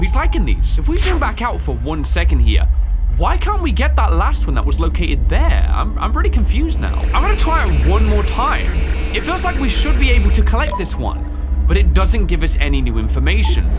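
Clear music plays behind a man talking at a fairly quick pace. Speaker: gaming video creator. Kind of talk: gameplay commentary. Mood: puzzled, curious. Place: home room.

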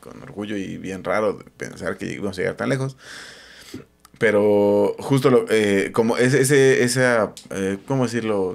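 With a Mexican accent, a man talks at a fairly slow pace and medium pitch, showing ordinary pitch variation and big swings in loudness. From Mexico. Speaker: podcast co-host. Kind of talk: show outro thanks; casual chat. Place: home room. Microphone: studio mic.

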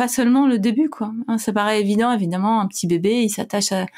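Somewhat breathy, a woman talks at a fairly quick pace in a very clean recording with a silent background. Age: 40s. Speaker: clinical psychologist and author. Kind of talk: casual interview.

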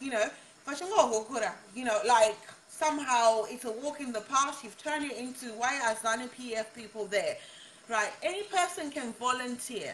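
A high-pitched woman at a fairly slow pace, with ordinary pitch variation, big swings in loudness and light background noise. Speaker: social media livestreamer and aspiring politician. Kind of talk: casual livestream chat with viewers. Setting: live video stream on Facebook. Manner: animated, laughs often. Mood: exasperated, argumentative. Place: kitchen. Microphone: phone near.

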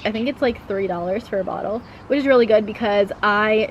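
A woman speaks at a fairly quick pace with fairly even intonation. The sound is dry with no echo, over light background noise. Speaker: lifestyle vlogger. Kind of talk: casual vlog chat. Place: garden. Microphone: camera far.

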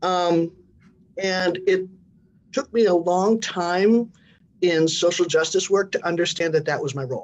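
A woman's fairly low voice at a fairly slow pace, ordinary pitch variation, and long, frequent pauses. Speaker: minister, talk show guest. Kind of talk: live online talk show discussion. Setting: video call. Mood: earnest, reflective. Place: office. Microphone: video call.

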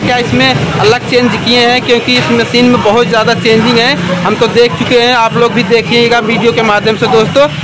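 Loud background noise fills the recording. Over it, a man talks at a fairly slow pace. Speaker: vlogger presenting a machine. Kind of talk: casual vlog product demo. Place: street. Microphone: phone near.

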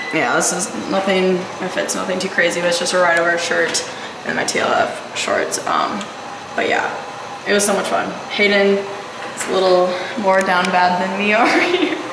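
Intonation stays fairly even as a woman speaks at a moderate pace. Noticeable background noise is present. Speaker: vlogger. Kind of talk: casual vlog chat. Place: gym.

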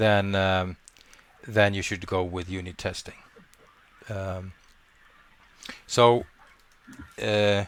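A man with a non-native accent speaks very slowly in a fairly low, monotone voice. His flat delivery has long, frequent pauses. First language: not English. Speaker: coding instructor. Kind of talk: online class discussion. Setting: video call with screen sharing. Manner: halting, many restarts.

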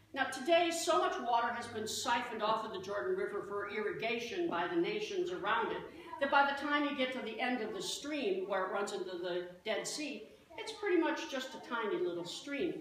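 Against light background noise and audible room echo, a woman talks at a fairly quick pace in a high pitch. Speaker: pastor. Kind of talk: sermon. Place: church. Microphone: camera far.

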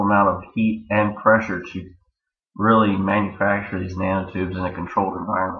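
A man with an American accent, fairly low in pitch, at a moderate pace amid audible room echo. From Maryland, US. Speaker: systems engineer. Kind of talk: student presentation. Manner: hesitant, many fillers.

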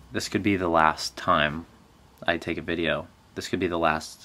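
At a moderate pace, a man speaks with a very deep, low pitch and a bright, sharp tone. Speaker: vlogger. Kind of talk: casual vlog chat. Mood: joking, playfully dramatic. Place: home room. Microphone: phone near.

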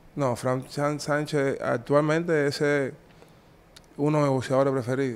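In a flat monotone, a man talks at a moderate pace with a fairly high voice. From Cuba. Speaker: former boxer; interviewee. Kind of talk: interview. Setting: in person. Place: office. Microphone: handheld.

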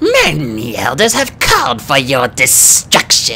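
A put-on character voice at a fairly slow pace against clear background noise. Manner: menacing, grave.

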